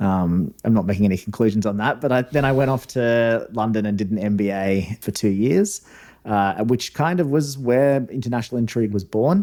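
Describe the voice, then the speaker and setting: A man speaks at a fairly quick pace in a medium-pitched, dark, mellow voice, with ordinary pitch variation and very even loudness, on a very clean recording with a silent background. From Australia. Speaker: former diplomat, newsletter founder. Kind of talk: interview podcast.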